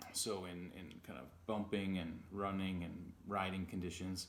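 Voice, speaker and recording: A man's fairly low voice with audible room echo. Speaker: vlogger. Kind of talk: casual unboxing vlog.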